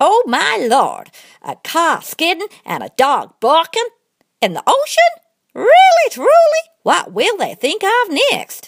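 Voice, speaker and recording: This is a cartoonish character voice with an extremely high pitch. It moves at a fairly slow pace. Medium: puppet show. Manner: folksy, easygoing, comic.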